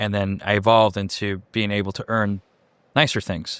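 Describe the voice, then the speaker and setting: Recorded very cleanly against a silent background, a man with a Chicago accent speaks in a fairly low pitch. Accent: Chicago American English. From Chicago area (Cicero, Illinois), born in Mexico. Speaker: executive director of a heliport. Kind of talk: interview. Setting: on site at a heliport.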